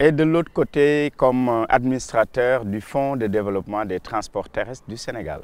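At a moderate pace and with hardly any pauses, a man speaks with ordinary pitch variation in dry sound with no echo. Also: medium pitch for a man. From Senegal, Saint-Louis; Senegal. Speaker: local politician. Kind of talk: interview. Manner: hesitant, with fillers and repetitions. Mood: calm, pleased. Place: garden.

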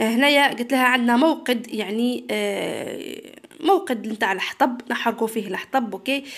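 At a fairly slow pace, the speaker's pitch varies in an ordinary way. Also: woman. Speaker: middle school English teacher. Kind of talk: tutorial. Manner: switches between Arabic and read-out English.

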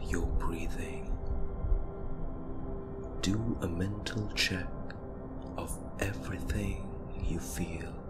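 A man talks very slowly against loud background noise. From India. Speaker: meditation guide. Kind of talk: guided meditation.

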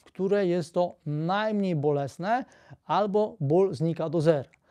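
A man's high-pitched voice with a Polish accent, dark and mellow in tone, at a very slow pace with lively intonation. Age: 60s. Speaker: physiotherapist video blogger. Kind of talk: tutorial, explanatory talk to camera. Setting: live video stream. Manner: explanatory, conversational.

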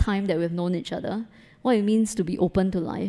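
A woman speaks very fast at a medium pitch, with ordinary pitch variation and a dark, mellow tone. The background is quiet. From Singapore. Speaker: photographer; guest. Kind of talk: panel talk before audience. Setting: gallery event with live audience. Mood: warm, appreciative. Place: hall. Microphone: handheld.

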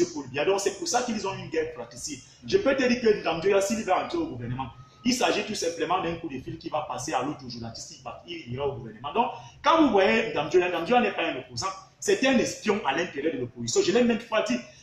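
With a Cameroonian accent, a man speaks at a high pitch and a fairly quick pace, his pitch swinging very widely, while music plays in the background and room echo is audible. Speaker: university researcher and political commentator. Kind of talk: heated political commentary interview. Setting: live online video stream. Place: home room. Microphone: phone near.

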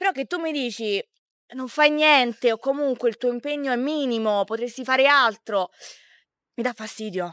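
Pausing long and often, a woman with a high pitch speaks with ordinary pitch variation in a dry, close sound with no echo. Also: moderate pace, very clean recording, silent background. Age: 20s. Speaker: social media content creator. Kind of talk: casual interview.

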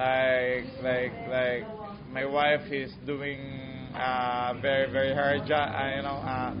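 Loud background noise runs behind this recording. A man talks at a very slow pace. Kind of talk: interview answer. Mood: calm, thoughtful. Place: gym.

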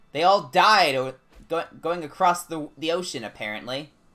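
A man at a moderate pace, with faint background music. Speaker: gaming streamer. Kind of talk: casual livestream chat while playing a game. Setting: home streaming setup, recorded stream. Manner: casual, animated, chatty. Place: home room. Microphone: headset.

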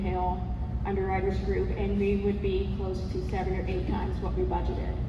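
A woman talks at a moderate pace over loud background noise. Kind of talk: public comment question at town hall. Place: hall.

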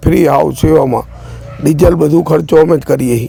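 A man is talking. There is music behind him. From Gujarat, Viramgam. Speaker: farmer and volunteer. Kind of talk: interview.

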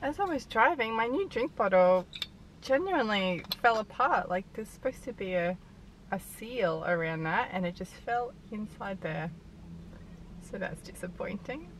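Dry sound with no echo and light background noise, a woman at a moderate pace. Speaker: vlogger. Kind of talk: casual vlog chat. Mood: cheerful, relaxed. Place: car. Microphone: phone near.

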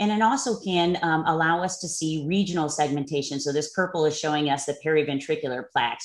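Someone talks at a very fast pace with an American accent over a quiet background. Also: woman. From US. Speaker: neuroradiologist. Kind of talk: lecture. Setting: online webinar. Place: home room. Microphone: webcam.

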